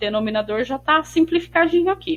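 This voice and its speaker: Music in the background behind a woman speaking with very wide pitch swings. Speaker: math teacher. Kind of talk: tutorial.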